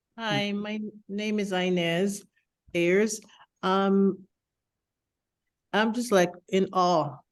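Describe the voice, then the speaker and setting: With long, frequent pauses, a woman talks at a very slow pace in a medium pitch and fairly even intonation. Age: 60s. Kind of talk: online meeting Q&A comment.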